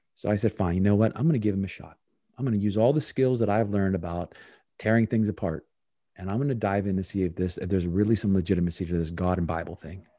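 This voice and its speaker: The speech runs at a very fast pace with a dark, mellow tone and ordinary pitch variation, on a very clean recording with a silent background. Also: man, fairly low pitch for a man. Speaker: performance consultant and speaker. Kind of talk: interview. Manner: animated.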